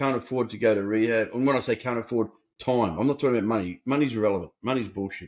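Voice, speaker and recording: With an Australian accent, a man talks at a very fast pace and medium pitch, his pitch varying in an ordinary way. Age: 70s. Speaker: recovery coach and author. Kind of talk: podcast interview. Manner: animated.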